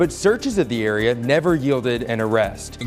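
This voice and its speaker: With ordinary pitch variation, a man talks over music in the background. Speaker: TV news reporter and anchor. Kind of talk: TV news reel.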